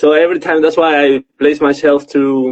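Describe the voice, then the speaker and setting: The sound is dry and close, with no echo. The speaker talks with a Spanish accent. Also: man. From Mexico. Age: 30s. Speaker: social worker. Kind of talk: interview.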